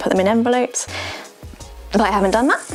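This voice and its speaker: With music playing in the background, a woman speaks in a British accent with ordinary pitch variation. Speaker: seamstress. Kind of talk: casual talk to camera.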